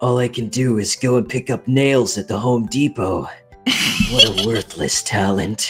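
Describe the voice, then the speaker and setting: Someone uses a put-on character voice at a low-to-middle pitch, with faint music playing in the background. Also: moderate pace. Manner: imitated character voice.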